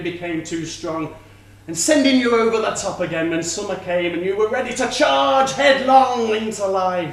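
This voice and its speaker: Over noticeable background noise, a man speaks in a high pitch with very wide pitch swings. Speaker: spoken word performer. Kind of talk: theatrical monologue performance. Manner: slow, sombre.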